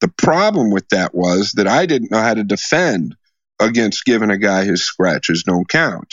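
With an American accent and an unremarkable speaking voice, a man talks at a moderate pace, his fairly low pitch carrying lively intonation. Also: very even loudness. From US Midwest, Des Moines, Iowa. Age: 40s. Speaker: pool player and gambler. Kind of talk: storytelling interview.

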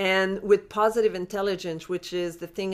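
A woman talks in a Quebec accent at medium pitch. Her intonation is fairly even. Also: very clean recording, silent background. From Quebec, Montreal. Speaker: life coach. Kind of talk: interview.

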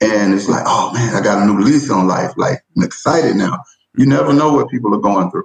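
The speaker is a man with a Southern US accent. He talks at a moderate pace with lively intonation. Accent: Southern US (Georgia). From US South, rural Georgia. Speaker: educator, assistant principal. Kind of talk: casual interview conversation.

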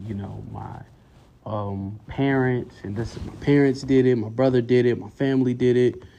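With an American accent, this man's voice carries a dark, mellow tone. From Durham, North Carolina. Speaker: pastor's kid and psychology student. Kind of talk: casual chat.

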